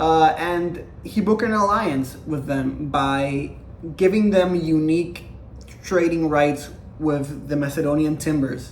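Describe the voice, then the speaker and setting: At a very slow pace, a man speaks with a fairly high pitch and ordinary pitch variation. Audible room echo and noticeable background noise are present. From Latin America. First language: not English. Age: young. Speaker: history YouTuber. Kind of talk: casual lecture. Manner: animated; halting.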